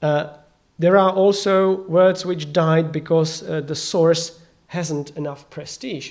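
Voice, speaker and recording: A man's high voice with a non-native accent at a very slow pace, in audible room echo. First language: not English. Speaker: conference speaker. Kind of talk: conference talk. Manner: halting.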